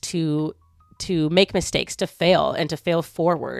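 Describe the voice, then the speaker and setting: Fairly even intonation at a moderate pace, dry and close with no echo, over background music. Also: woman. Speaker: lifestyle vlogger. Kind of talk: casual talking-head video. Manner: casual, conversational.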